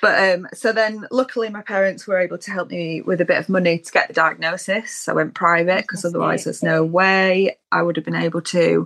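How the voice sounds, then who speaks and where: The speech comes at a fairly quick pace with hardly any pauses. Its loudness swings widely. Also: woman. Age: 30s. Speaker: illustrator. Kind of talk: casual chat.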